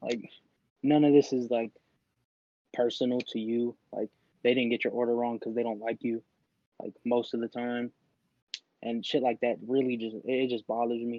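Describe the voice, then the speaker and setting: At a moderate pace, a man talks in a medium pitch with a dark, mellow tone. The sound is dry and close with no echo, and he leaves long, frequent pauses. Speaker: podcast co-host. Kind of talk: casual chat. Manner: loud; animated.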